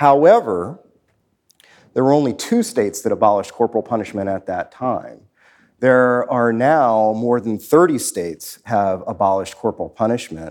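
In a very clean recording with a silent background, a man uses an ordinary speaking voice at medium pitch, with ordinary pitch variation and a moderate pace. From Washington, D.C. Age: 40s. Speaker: law professor. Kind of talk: live interview before an audience. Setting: stage with audience.

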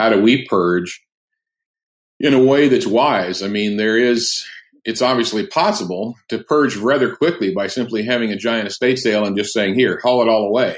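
Medium pitch and ordinary pitch movement in a man's plain, everyday voice, moving at a moderate speed. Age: 60s. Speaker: curriculum publisher and homeschool father. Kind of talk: casual interview chat. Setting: remote call.

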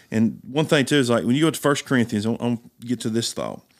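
A man with a medium-pitched voice talks very fast. The recording is very clean, with a silent background. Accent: East Tennessee. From US South, East Tennessee. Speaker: pastor. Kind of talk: casual chat.

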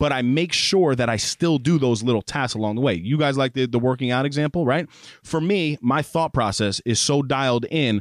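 Speaking at a fairly quick pace, a man with an unremarkable speaking voice, fairly high pitch and lively intonation is heard on a very clean recording with a silent background and a dry, close sound with no echo. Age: 30s. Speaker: podcast co-host. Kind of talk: casual chat. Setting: studio.

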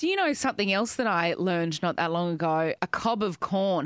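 With an Australian accent, a woman at a medium pitch speaks at a moderate pace with ordinary pitch variation, the sound dry and close with no echo. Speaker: podcast host. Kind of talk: casual chat.

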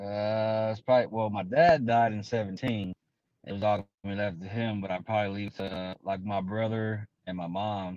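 A man with an unremarkable speaking voice talks at a fairly low pitch. His pace is moderate and his intonation fairly even. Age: 40s. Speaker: electrician. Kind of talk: casual chat. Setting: livestream call with earbuds.

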